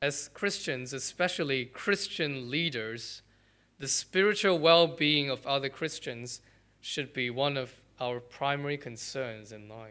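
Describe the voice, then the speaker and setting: Speaking very slowly in a bright, sharp tone, a man shows big swings in loudness and ordinary pitch variation on a very clean recording with a silent background. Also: fairly high pitch for a man. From Malaysia. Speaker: pastor. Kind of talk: sermon.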